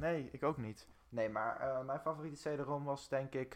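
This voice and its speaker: A man at a very slow pace, fairly high in pitch, with fairly even intonation on a very clean recording with a silent background. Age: 20s. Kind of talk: casual chat.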